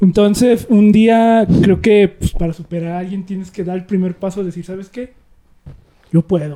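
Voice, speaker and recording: Speaking in a Mexican accent at a moderate pace, a man with a high-pitched, dark and mellow voice keeps his intonation fairly even while his loudness swings widely. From rural Mexico. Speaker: podcast co-host. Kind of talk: casual chat.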